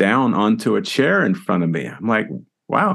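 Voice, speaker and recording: An ordinary speaking voice with an American accent moves at a moderate pace. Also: man. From Southern California (Los Angeles). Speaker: retired orchestral percussionist. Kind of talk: casual interview. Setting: video call.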